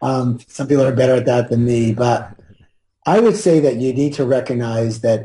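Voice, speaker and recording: A man speaks at a medium pitch in a dark, mellow tone that is somewhat breathy. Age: 60s. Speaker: wealth trainer. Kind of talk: interview.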